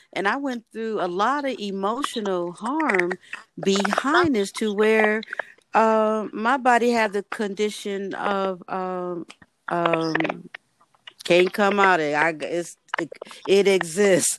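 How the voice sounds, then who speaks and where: Pausing long and often, a woman speaks at a very slow pace with medium pitch and ordinary pitch variation. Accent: American. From US South. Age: 60s. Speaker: podcast host. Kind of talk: casual chat. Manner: animated.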